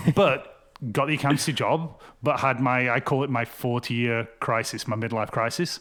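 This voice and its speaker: A man speaks at a medium pitch with ordinary pitch variation. His pace is moderate. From Wales (Cardiff), UK. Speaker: realtor. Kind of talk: podcast interview. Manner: animated, conversational.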